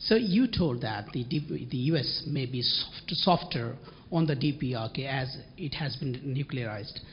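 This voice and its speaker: Against noticeable background noise, a man talks fairly slowly at a fairly high pitch with ordinary pitch variation. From Bangladesh. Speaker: journalism fellow. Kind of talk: audience question.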